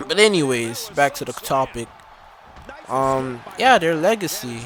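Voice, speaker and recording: Over noticeable background noise, a man with a fairly high pitch talks at a fairly slow pace with lively intonation. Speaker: gaming YouTuber. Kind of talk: gameplay commentary. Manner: halting, stumbling over words.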